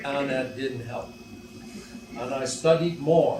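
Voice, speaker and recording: A man speaks at a moderate pace and a medium pitch, with fairly even intonation. Room echo is audible, and background noise is noticeable. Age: 80s+. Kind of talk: catechesis talk to a lay audience. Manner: hesitant, many fillers.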